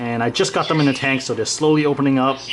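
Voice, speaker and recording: Noticeable background noise sits behind a man talking with ordinary pitch variation. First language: Chinese. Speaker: reef aquarium vlogger. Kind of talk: casual vlog.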